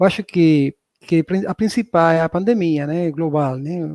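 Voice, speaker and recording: In a strong southern Spanish accent, a man talks at a moderate pace with a high pitch, ordinary pitch variation and a dark, mellow tone, recorded dry and close with no echo. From southern Spain. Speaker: professor. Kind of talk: lecture.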